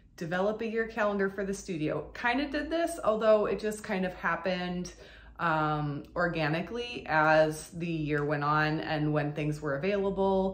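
A woman speaks at a fairly low pitch. Her pace is moderate. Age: 40s. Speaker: burlesque performer. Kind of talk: casual vlog update. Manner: hesitant, many fillers. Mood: reflective, calm. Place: home room.

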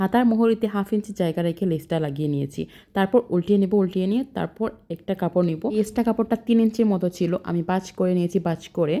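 A woman's medium-pitched, dark, mellow voice with ordinary pitch variation, on a very clean recording with a silent background. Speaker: sewing vlogger. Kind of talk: tutorial. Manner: halting, pausing mid-sentence.

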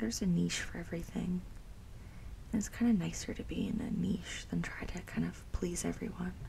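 Soft-spoken and gentle in tone, the voice whispers at a fairly quick pace. Light background noise can be heard. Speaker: nail painting creator. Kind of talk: casual soft-spoken tutorial chat. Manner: soft ASMR whisper, gentle rambling.

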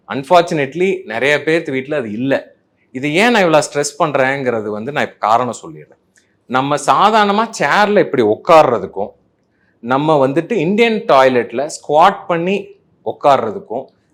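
Big swings in loudness and very wide pitch swings mark a man's fairly high-pitched voice. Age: 40s. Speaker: gastroenterologist. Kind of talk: health explainer talk. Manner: conversational, Tamil-English code-mixing.

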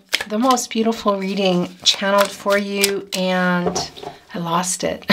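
A woman is talking here. The rise and fall of her pitch is ordinary. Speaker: tarot reader. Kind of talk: casual tarot reading chat. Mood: warm, chatty. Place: home room.

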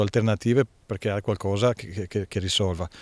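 The recording is dry with no echo and a quiet background as a man speaks with ordinary pitch variation. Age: 50s. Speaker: football coach. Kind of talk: press interview. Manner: halting, many fillers. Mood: relaxed, smiling at times. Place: garden. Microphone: handheld.

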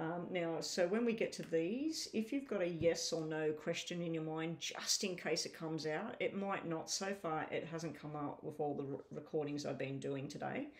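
The speech has hardly any pauses. It runs at a moderate pace. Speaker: tarot reader. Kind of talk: casual reading commentary.

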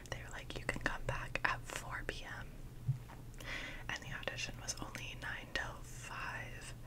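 A woman speaks against loud background noise. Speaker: ASMR creator. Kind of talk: whispered ASMR ramble / story time to camera. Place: home room. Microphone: studio mic.

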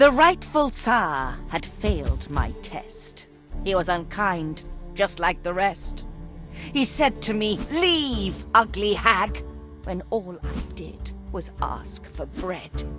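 Clear music plays in the background. Over it comes a put-on character voice at a very slow pace. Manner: sinister, sing-song rhyming.

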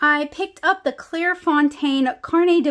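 In a quiet setting, a woman speaks at a moderate pace. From New Orleans area, US South. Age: 30s. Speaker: comic artist and art supply YouTuber; comic artist, art supply YouTuber. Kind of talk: casual haul video talk to camera. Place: home room.

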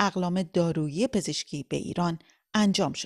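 At a moderate pace against a quiet background, a woman speaks at a fairly low pitch in a plain, everyday voice. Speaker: radio reporter. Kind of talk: news reading. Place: studio. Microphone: studio mic.

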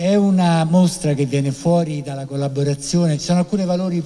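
A man with an unremarkable speaking voice talks at a fairly quick pace and a fairly high pitch. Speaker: foundation president. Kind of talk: welcome speech. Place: hall. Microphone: handheld.

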